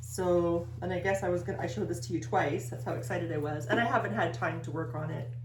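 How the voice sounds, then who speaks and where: With audible room echo and noticeable background noise, a woman talks very fast with hardly any pauses, using lively intonation and a very deep, low pitch. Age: 50s. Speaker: knitting video co-host. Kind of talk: casual chat.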